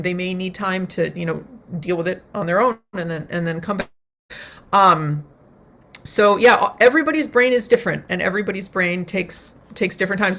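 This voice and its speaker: Here a woman speaks in an American accent at a medium pitch with ordinary pitch variation. Her tone is bright and sharp. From US Northeast, Connecticut. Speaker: violist and neuroscientist. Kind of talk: webinar Q&A answer. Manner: fast.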